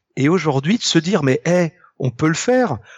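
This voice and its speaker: A man's high-pitched voice at a moderate pace. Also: dry, close sound with no echo. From Brittany, France (Ille-et-Vilaine). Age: 40s. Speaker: comic book artist. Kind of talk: casual chat. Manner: talkative, long-winded.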